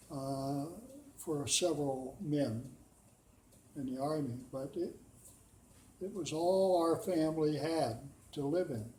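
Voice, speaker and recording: A man with an American accent and a fairly high pitch speaks at a very slow pace in a dark, mellow, somewhat breathy tone, with ordinary pitch variation, long, frequent pauses and audible room echo. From US Pacific Northwest, Washington. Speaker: war veteran. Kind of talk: oral history interview. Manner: halting.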